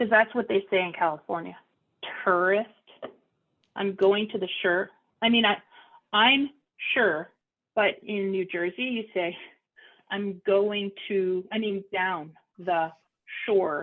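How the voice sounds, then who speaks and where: With a Philadelphia accent, a woman talks at a very slow pace with long, frequent pauses, a medium pitch, and ordinary pitch variation. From Philadelphia, US. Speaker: audiologist hosting a support meeting. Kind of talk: casual group chat. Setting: video call.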